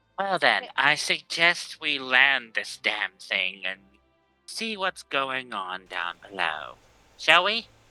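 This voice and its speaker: A man's put-on character voice, fairly high-pitched, with very wide pitch swings, a very slow pace and faint music in the background. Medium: actual play. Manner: blunt, combative.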